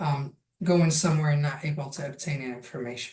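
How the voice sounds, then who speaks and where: A somewhat breathy voice with a dark, mellow tone at a moderate pace. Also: woman. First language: Arabic, French and Spanish. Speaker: language access project manager. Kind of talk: online workshop presentation.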